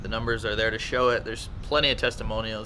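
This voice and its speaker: A man speaking amid noticeable background noise and audible room echo. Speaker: vlogger. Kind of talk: casual vlog review. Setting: outdoors. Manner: halting, stuttering.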